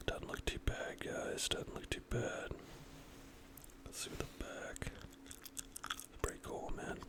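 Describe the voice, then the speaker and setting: Whispering at a very slow pace, a man leaves long, frequent pauses while noticeable background noise runs underneath. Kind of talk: ASMR trading card opening, casual talk. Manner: whispered, soft-spoken.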